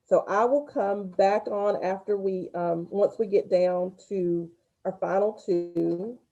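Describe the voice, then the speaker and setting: Speaking very slowly in a Southern US accent, a woman has a medium pitch and a dark, mellow tone. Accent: Southern twang. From US South. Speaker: school spelling bee organizer. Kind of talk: event announcements to students. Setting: livestreamed video call.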